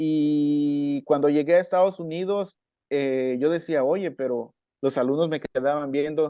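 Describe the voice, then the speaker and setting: A man in a Chiapas accent, fairly high-pitched, at a fairly slow pace with fairly even intonation. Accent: Mexican Chiapas coastal accent, still has it. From Mexico, coast of Chiapas. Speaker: marimba player and music teacher. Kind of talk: podcast interview.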